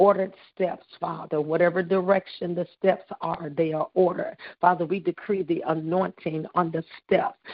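A plain, everyday voice speaks at a moderate pace. Its intonation is fairly even. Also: woman, fairly low pitch for a woman. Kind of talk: intercessory prayer. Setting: phone call. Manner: fervent, repetitive declarations.

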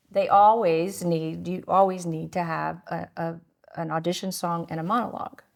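A plain, everyday voice with an American accent, a moderate pace and fairly even intonation. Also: woman, fairly low pitch for a woman. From Connecticut. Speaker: podcast host. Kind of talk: casual chat interview.

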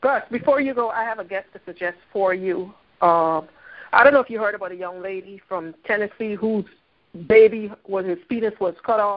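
A woman speaks in a plain, everyday voice at medium pitch and a moderate pace, with ordinary pitch variation and big swings in loudness. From Philadelphia. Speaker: caller, adjunct instructor. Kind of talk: call-in discussion.

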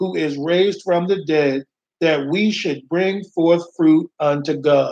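Dark and mellow in tone. The delivery is fairly slow. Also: man. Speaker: minister. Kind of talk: sermon. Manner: animated.

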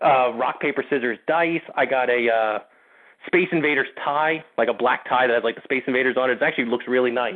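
A man's medium-pitched voice at very even loudness, moving at a fairly quick pace. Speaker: podcast co-host, animation reviewer. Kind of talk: casual chat. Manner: animated.

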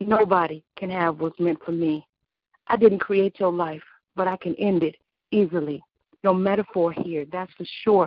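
Speaking at a moderate pace, the woman has a fairly low pitch. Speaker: radio DJ, co-host. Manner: animated.

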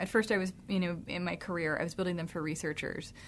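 A normal speaking voice from a woman with a fairly low pitch, ordinary pitch variation and an American accent, in a very clean recording over a silent background. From US South, Jonesboro, Georgia. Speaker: tech company founder. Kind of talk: radio interview.

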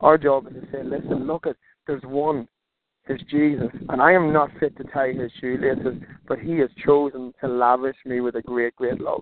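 With an Irish accent, a man speaks at a moderate pace and medium pitch with fairly even intonation. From Ireland. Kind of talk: interview. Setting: phone call while driving.

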